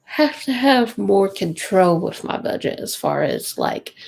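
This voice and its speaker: In a Kentucky accent, a woman talks at a very slow pace on a very clean recording with a silent background. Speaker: budgeting vlogger, mom. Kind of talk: casual livestream chat. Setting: home livestream at night.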